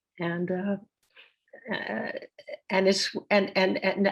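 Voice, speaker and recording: At a very slow pace, a woman talks in a medium pitch with vocal fry. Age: 80s+. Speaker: harpsichordist. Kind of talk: interview. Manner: halting.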